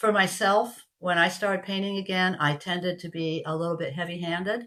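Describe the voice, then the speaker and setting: This woman has an ordinary speaking voice and fairly even intonation. She talks at a fairly quick pace. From Canada. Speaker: craft kit seller. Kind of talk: product demonstration. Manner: casual, chatty.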